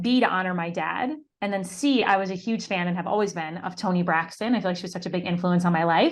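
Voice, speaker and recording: Over a quiet background, a woman speaks very fast at a medium pitch with ordinary pitch variation and hardly any pauses. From upstate New York, Syracuse. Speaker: business coach, former actor. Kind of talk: interview.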